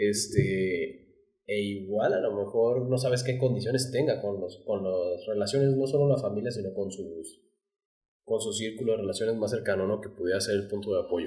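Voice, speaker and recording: A man speaks with a Mexican accent in a somewhat breathy voice with a dark, mellow tone, against a quiet background. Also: fairly low pitch for a man, ordinary pitch variation, moderate pace. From Mexico. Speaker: podcast co-host. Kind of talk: casual chat. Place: studio. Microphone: studio mic.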